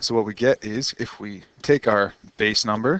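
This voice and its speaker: Against noticeable background noise, a man speaks at a fairly slow pace and fairly low pitch, the sound dry and close with no echo. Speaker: math teacher. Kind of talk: lecture.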